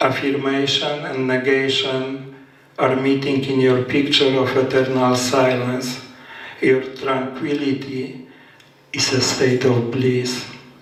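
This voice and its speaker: A man with a Polish accent, medium-pitched, monotone and flat, at a very slow pace, amid noticeable background noise and audible room echo. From Poland. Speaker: poet. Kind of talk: casual storytelling; poetry reading. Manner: halting.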